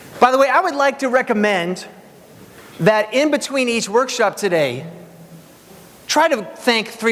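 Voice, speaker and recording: A man speaks at a fairly slow pace in an energetic tone, his pitch swinging very widely over noticeable background noise. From Hungary. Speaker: keynote speaker. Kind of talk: motivational keynote speech. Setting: stage with audience.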